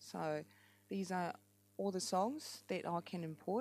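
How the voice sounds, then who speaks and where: Speaking with a strong New Zealand accent, a woman has a dark, mellow tone. The recording is very clean, with a silent background. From France. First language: French. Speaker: app tutorial maker and amateur musician. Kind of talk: tutorial. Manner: hesitant, many fillers.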